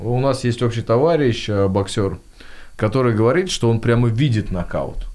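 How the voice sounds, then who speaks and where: A man talks at a moderate pace with very even loudness and ordinary pitch variation. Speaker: podcast host. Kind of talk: casual interview. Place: studio. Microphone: studio mic.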